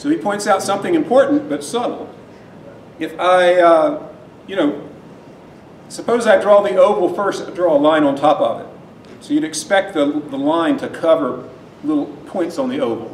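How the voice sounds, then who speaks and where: A loud voice with very wide pitch swings and a moderate pace, broken by long, frequent pauses. The room echo is audible, and there is noticeable background noise. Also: man, high pitch for a man. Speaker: university lecturer. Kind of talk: lecture. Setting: lecture hall with students.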